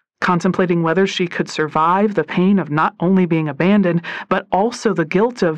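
Someone is heard. It is plain reading aloud.

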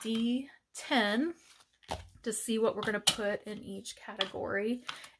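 Against noticeable background noise, a woman speaks at a fairly slow pace with fairly even intonation. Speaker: savings challenge creator. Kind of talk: casual narrated tutorial.

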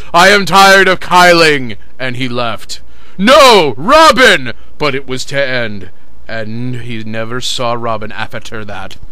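A man at a very slow pace and medium pitch, lively in intonation, with noticeable background noise. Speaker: fan fiction reader. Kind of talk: comedic dramatic reading.

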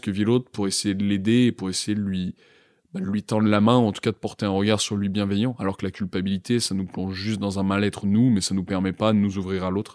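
A man speaks at a fairly quick pace in a fairly low pitch, his intonation flat and monotone. The recording is very clean and dry, close with no echo, over a silent background. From France, Grenoble suburbs. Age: 20s. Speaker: psychology student. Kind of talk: testimony. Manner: hesitant, many fillers.

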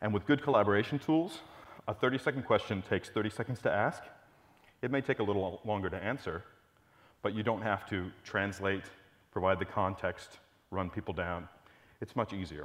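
A man with a fairly low pitch speaks at a moderate pace, using ordinary pitch variation and long, frequent pauses. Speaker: conference presenter. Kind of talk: lecture. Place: hall. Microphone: lapel.

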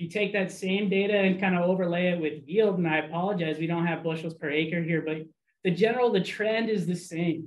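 At a fairly quick pace, a man talks in a high voice with fairly even intonation. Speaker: weed science outreach specialist. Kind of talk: research presentation. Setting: video call. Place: office.

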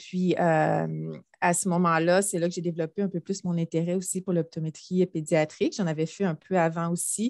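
A woman's fairly low, monotone voice with flat intonation, at a moderate pace, dry with no echo against a quiet background. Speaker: optometry professor. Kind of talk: panel discussion. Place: office. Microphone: headset.

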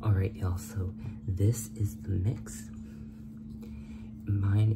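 Over music in the background, a man talks at a fairly slow pace with ordinary pitch variation. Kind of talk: tutorial. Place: kitchen. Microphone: phone near.

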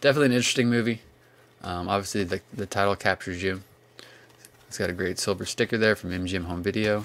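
Here a man speaks at a very fast pace. His pitch variation is ordinary. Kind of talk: casual collection review. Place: home room. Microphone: phone near.

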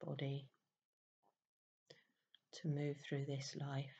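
A woman speaks very slowly in a calm tone with a very deep, low, dark and mellow voice that is somewhat breathy. Her intonation is monotone and flat, with light background noise. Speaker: meditation teacher. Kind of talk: guided meditation. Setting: voice only, no background music. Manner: slow, calm. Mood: warm, chatty intro. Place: home room. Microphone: webcam.

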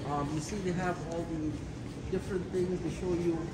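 There is loud background noise. Through it, a man speaks at a fairly quick pace. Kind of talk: casual vlog chat. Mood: upbeat, proud. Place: station. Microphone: phone near.

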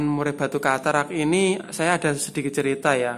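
With a Javanese accent, a man speaks at a moderate pace in a fairly high voice. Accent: Javanese-accented Indonesian. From East Java, Tulungagung; East Java. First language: Javanese (speaking Indonesian). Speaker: bird seller and bird-care youtuber; bird seller, bird-care youtuber. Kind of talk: tutorial. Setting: room with bird cages. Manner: halting, many fillers. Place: home room. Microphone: phone near.

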